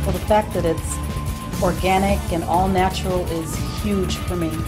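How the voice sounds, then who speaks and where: Clear music sounds in the background while a woman speaks at a moderate pace. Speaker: voice actor. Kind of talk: testimonial interview answer. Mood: warm, sincere. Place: studio.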